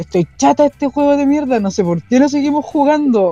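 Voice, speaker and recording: A woman with a Chilean accent talks at a fairly quick pace, her pitch swinging very widely, in a dry, close sound with no echo. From Chile, Talagante countryside. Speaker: podcast panelist. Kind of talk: casual chat.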